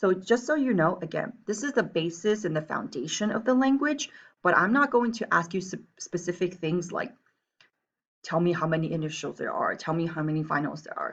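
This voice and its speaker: A woman with a Taiwanese accent speaks at a medium pitch and a fairly quick pace. Her pitch swings very widely. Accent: Southern Mandarin accent from Taiwan. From Taiwan and US, back and forth. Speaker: Chinese teacher. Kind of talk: reading aloud; lecture. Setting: screencast.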